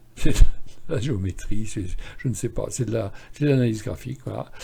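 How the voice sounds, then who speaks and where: A man talks at a medium pitch with very wide pitch swings, his tone dark, mellow and somewhat breathy. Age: 70s. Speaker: stock market analyst and trading educator. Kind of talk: screen-share tutorial on chart analysis. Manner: casual, halting with fillers and repetitions.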